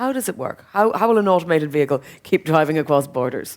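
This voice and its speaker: A woman's very deep, low voice in an Irish accent, with lively intonation. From Ireland. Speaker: panel moderator. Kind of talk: panel discussion.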